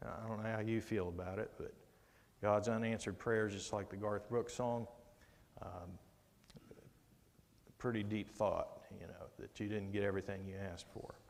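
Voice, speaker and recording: At a moderate pace broken by long, frequent pauses, a man talks in a flat monotone at a fairly low pitch. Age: 60s. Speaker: Bible study teacher. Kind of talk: Bible study lesson. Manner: conversational.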